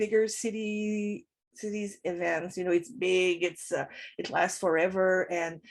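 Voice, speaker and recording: Against a quiet background, a woman speaks with a French accent. Her pace is fairly slow. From Montreal, Quebec. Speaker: professor and writer. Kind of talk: interview. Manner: halting.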